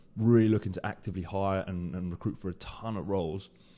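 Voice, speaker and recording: With a British accent, a man speaks at a fairly quick pace in a very deep, low pitch, his tone dark and mellow and his intonation fairly even. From UK. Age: 20s. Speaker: recruiter and podcast host. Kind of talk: solo podcast monologue. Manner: hesitant, many fillers and repetitions.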